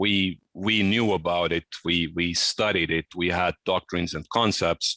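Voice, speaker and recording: A man with a very deep, low voice talks at a fairly slow pace with ordinary pitch variation, the sound dry and close with no echo and the background quiet. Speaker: military officer and security expert. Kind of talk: conference talk. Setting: video call to a seminar audience.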